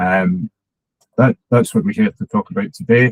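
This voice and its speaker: A man with a Scottish accent at a fairly quick pace, in a dry, close sound with no echo. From Scotland. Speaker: head of digital at a charity. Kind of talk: conference talk.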